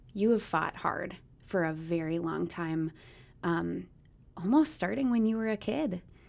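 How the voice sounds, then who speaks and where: In an American accent, a woman with a fairly low pitch speaks at a fairly slow pace with lively intonation and long, frequent pauses. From US Midwest. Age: 30s. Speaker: mother and church member. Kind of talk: casual chat.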